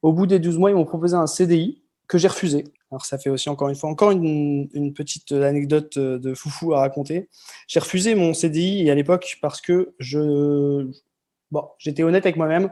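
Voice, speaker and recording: With a dark, mellow tone and fairly even intonation, a man speaks at a fairly quick pace. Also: fairly high pitch for a man. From northern France (Lille area). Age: 30s. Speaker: expatriate podcast guest. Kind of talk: interview storytelling. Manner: hesitant with many fillers.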